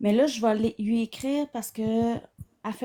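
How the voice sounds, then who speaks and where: Soft-spoken and fairly high-pitched, a woman with a Quebec accent talks at a fairly quick pace in a dark, mellow tone with fairly even intonation. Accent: Québécois French. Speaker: psychotherapist. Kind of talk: casual chat.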